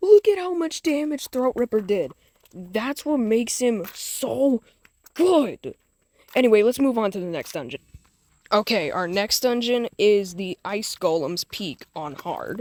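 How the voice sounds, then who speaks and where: A woman speaks at a fairly slow pace in a fairly high voice, her pitch swinging very widely and her loudness rising and falling a lot, in a dry, close recording with no echo. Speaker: gaming YouTuber. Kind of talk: gameplay tutorial. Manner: casual, informal.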